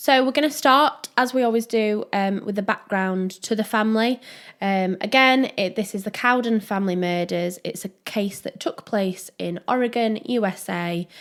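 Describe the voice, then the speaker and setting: In a Yorkshire accent, a woman speaks at a fairly high pitch with ordinary pitch variation and a moderate pace. She leaves hardly any pauses, and the recording is very clean with a silent background. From Yorkshire, northern England. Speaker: true crime podcast co-host. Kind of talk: casual chat. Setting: small room.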